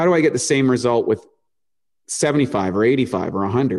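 Against a quiet background, a man with a Canadian accent speaks at a medium pitch with ordinary pitch variation. It is a normal speaking voice. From eastern Canada, New Brunswick. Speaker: nutritionist and supplement company founder. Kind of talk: interview.

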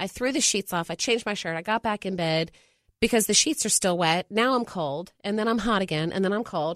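With lively intonation and a fairly quick pace, a woman speaks in an ordinary speaking voice at a medium pitch against a quiet background. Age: 40s. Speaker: mother. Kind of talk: casual chat. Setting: studio.

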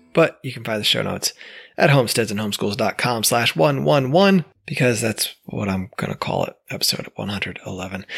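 With an American accent, a man speaks at a medium pitch with vocal fry and lively intonation. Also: fairly quick pace, dry, close sound with no echo. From upstate New York. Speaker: podcast host. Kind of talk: podcast intro and outro.

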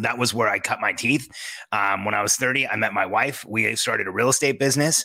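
At a fairly quick pace, a man talks with a medium pitch, vocal fry and a bright, sharp tone. His pitch varies in an ordinary way while his loudness stays very even. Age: 40s. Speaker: entrepreneur and business coach. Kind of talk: interview.

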